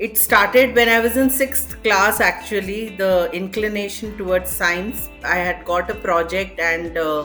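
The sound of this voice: A woman's fairly slow speech at a medium pitch, fairly bright in tone, with ordinary pitch variation and faint music in the background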